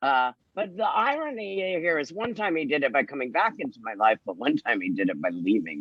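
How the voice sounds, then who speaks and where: A woman with an American accent talks at a fairly quick pace with hardly any pauses, at a medium pitch with very wide pitch swings and vocal fry. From New York. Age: 60s. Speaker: television producer. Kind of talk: interview conversation. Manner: animated.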